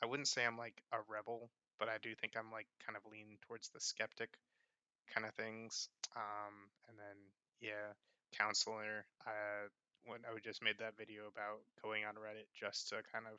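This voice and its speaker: A soft-spoken man talks at a moderate pace and fairly low pitch, with monotone, flat intonation. Long, frequent pauses and big swings in loudness run through his speech. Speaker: vlogger. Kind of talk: casual talking-head vlog. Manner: halting, many fillers.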